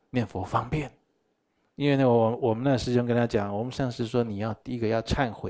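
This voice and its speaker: This is a man speaking at a medium pitch. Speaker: Buddhist teacher. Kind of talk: dharma lecture. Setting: live teaching session with in-person and online audience. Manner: animated.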